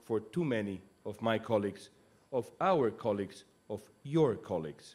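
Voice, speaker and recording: At a moderate pace, the man speaks with ordinary pitch variation. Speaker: speaker, news anchor. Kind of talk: commencement speech. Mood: earnest, serious. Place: stage. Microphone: podium.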